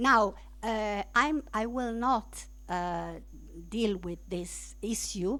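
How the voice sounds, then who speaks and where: Very slow speech, recorded very cleanly against a silent background. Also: woman. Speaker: law lecturer. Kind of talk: lecture. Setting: lecture room with streaming. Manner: halting.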